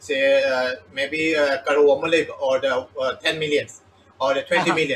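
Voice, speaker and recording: Over noticeable background noise, a man with a Manipur accent talks at a moderate pace, his fairly high pitch moving in fairly even intonation. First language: Manipuri. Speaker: interviewer. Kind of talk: interview. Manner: halting.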